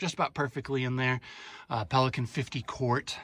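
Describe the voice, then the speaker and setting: In a dry sound with no echo, a man speaks at a fairly quick pace with a bright, sharp tone. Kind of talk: casual walkthrough tour. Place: car. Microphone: phone near.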